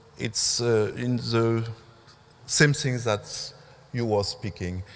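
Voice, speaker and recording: A man with a French accent talks at a very slow pace with fairly even intonation. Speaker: museum curator. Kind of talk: conference talk. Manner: halting.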